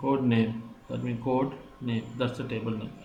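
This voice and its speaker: There is audible room echo and noticeable background noise in this recording. A man speaks with monotone, flat intonation. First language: not English. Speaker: software tutorial maker. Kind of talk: tutorial. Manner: halting.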